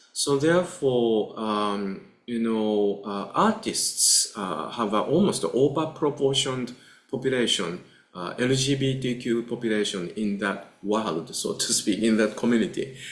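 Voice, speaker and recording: Speaking with a Japanese accent and lively intonation, a man at medium pitch is heard with audible room echo and noticeable background noise. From Japan, Kamakura. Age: 60s. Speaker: Buddhist teacher. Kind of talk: lecture. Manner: halting, many filler uhs.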